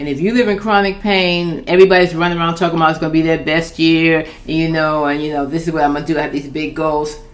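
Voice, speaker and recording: A woman has an unremarkable speaking voice, fairly low in pitch with ordinary pitch variation. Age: 60s. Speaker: children's book author. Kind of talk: casual talk to camera. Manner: candid, conversational.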